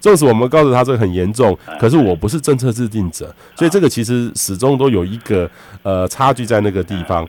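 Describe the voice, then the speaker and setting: This is a normal speaking voice from a man with a medium pitch. He talks at a fairly quick pace with lively intonation. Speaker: radio host, weather expert. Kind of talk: radio interview.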